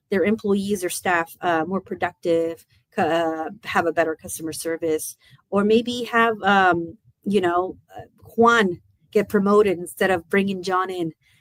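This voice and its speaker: A woman speaks at medium pitch with ordinary pitch variation and a fairly slow pace. Hers is a normal speaking voice, recorded with a dry, close sound and no echo. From United States, Mexican immigrant family. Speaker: language school owner. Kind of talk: interview.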